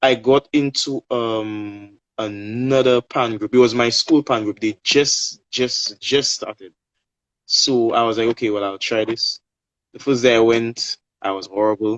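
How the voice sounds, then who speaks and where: This man talks at a fairly slow pace, with medium pitch and fairly even intonation. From Saint Lucia. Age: 20s. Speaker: steelpan player and singer. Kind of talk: interview on a live stream. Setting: social media live video call.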